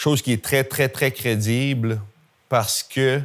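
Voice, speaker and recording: Captured on a very clean recording with a silent background, a man speaks at a medium pitch with a Gaspésie accent. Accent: Gaspésie Quebec French. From Quebec, Gaspésie (Grande-Vallée). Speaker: historian lecturer. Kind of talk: public lecture with audience questions. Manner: casual, hesitant with fillers.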